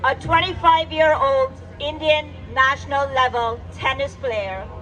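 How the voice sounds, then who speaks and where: Over crowd noise in the background, a woman speaks at a very slow pace. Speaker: poet. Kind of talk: spoken word poetry performance. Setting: live event.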